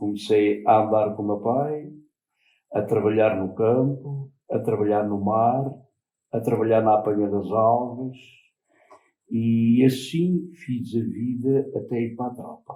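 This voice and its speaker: A man's dark, mellow tone at a medium pitch, very slow pace, ordinary pitch variation and long, frequent pauses. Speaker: former fisherman and farm worker. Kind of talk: interview. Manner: halting.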